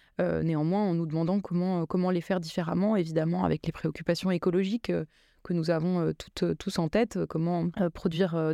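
A woman's fairly low, dark, mellow voice at a fairly quick pace, monotone and flat, with very even loudness, in a dry, close sound with no echo against a quiet background. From France, Seine-Saint-Denis (Paris suburbs), Drancy. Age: 30s. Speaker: contemporary art centre director and curator. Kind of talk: interview. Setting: radio studio. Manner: halting, with frequent hesitations and repetitions.

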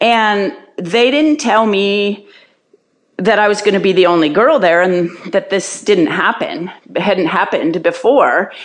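A woman with an unremarkable speaking voice talks at a fairly slow pace with lively intonation. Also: medium pitch for a woman. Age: 60s. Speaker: retired cross-country ski racer. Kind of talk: casual interview answers.

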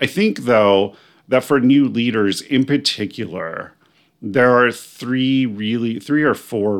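In a very clean recording with a silent background, a man with an American accent and a normal speaking voice talks at a fairly slow pace and medium pitch, with ordinary pitch variation and big swings in loudness. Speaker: spiritual life coach and podcast host. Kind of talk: solo podcast monologue.

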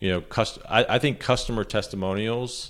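An ordinary speaking voice moves at a moderate pace with fairly even intonation. The recording is very clean, with a silent background. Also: man. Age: 40s. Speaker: messaging and storytelling consultant. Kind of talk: podcast interview.

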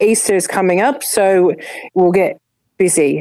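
With an Australian accent, a woman talks at a moderate pace and a fairly low pitch, her pitch varying in an ordinary way. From Adelaide, South Australia. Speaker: community volunteer. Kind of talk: interview. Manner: halting.

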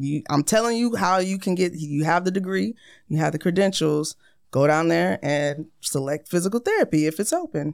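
In a very clean recording with a silent background, a woman with an American accent speaks at a moderate pace. She has an ordinary speaking voice, fairly low in pitch, with ordinary pitch variation. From US military family, raised abroad and in US. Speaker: Air Force recruiter. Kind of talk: casual interview.

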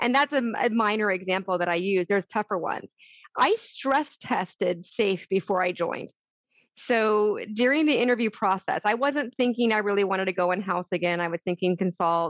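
A woman with an American accent talks at a fairly quick pace and a medium pitch, with ordinary pitch variation. Her loudness stays very even, and the sound is dry and close with no echo. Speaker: author and HR executive. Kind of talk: interview conversation. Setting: video call. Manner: fast talker.

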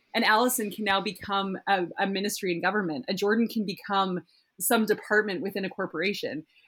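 An unremarkable speaking voice from a woman with a Canadian accent, medium in pitch, with ordinary pitch variation and a fairly quick pace. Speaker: startup founder. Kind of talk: casual podcast interview.

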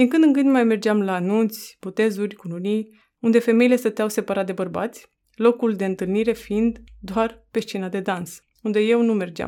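A woman's unremarkable speaking voice, fairly high in pitch, with fairly even intonation at a moderate pace, in a very clean recording with a silent background. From Romania, Roma community. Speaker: author. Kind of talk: reading aloud.

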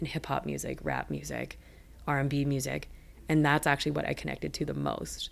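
The speaker has a western Canadian accent. The pace is fairly quick. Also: woman. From Richmond, British Columbia, Canada. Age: 30s. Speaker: media company co-founder and producer. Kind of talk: interview. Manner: casual, filler-heavy.

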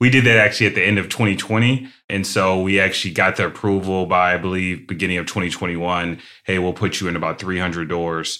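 This man speaks very fast with an American accent, his very deep, low voice bright and sharp in tone and his intonation fairly even. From Ohio, Cleveland area. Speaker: food company founder. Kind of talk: interview.

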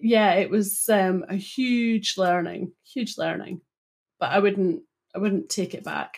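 A woman talks at a very slow pace and medium pitch, with ordinary pitch variation. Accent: Scottish. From Scotland, Broughty Ferry (Dundee). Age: 40s. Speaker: data consultant. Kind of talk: interview.

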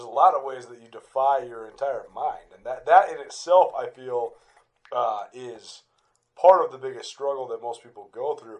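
There are big swings in the man's loudness. He keeps to a moderate pace. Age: 30s. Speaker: radio host and podcaster. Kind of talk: casual conversation. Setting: recording on a couch with a hand recorder.

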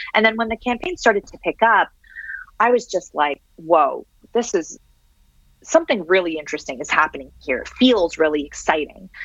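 A woman speaks at a moderate pace and medium pitch, with very wide pitch swings and big swings in loudness. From Canada (Syrian-born). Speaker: author on digital technology. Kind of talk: interview. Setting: remote interview from home.

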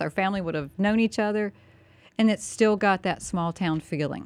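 Speaking with a Southern US accent, a woman of medium pitch keeps a moderate pace and ordinary pitch variation on a very clean recording with a silent background. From US South, North Carolina. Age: 50s. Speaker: county commissioner. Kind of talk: radio interview. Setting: studio.

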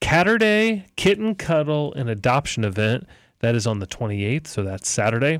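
A man at medium pitch speaks at a moderate pace. The sound is dry and close with no echo, in a very clean recording with a silent background. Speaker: sports talk radio host. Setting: radio studio.

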